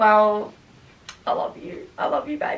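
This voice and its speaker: This woman speaks with an Australian accent. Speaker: YouTuber. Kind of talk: casual Q&A vlog. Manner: loud, outgoing; fast, chatty with fillers.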